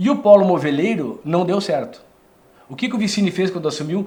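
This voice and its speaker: The speaker is a man. His voice is high in pitch. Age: 60s. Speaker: former politician. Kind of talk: interview. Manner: animated.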